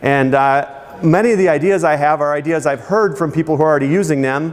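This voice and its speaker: A man talks at a very fast pace with a fairly high pitch and ordinary pitch variation. His loudness stays very even over noticeable background noise. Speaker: marketing presenter. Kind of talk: seminar presentation.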